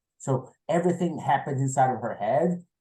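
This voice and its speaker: A man speaks at a moderate pace with a Portuguese accent. His tone is dark and mellow, and somewhat breathy. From Brazil. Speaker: novelist. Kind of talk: interview. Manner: halting, repeats words.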